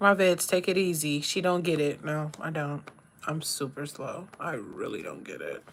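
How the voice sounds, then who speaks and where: The speaker has an American accent and an animated tone, talking at a moderate pace with ordinary pitch variation. Loudness swings widely, and background noise is noticeable. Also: woman, fairly low pitch for a woman. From Maryland, US. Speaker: livestreamer. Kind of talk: casual live-stream chat while doing makeup.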